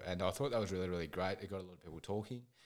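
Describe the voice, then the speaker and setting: In a very clean recording with a silent background, a man with an Australian accent speaks in a very deep, low pitch. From Ballarat, Victoria, Australia. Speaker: mental health charity founder. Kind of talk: interview testimony.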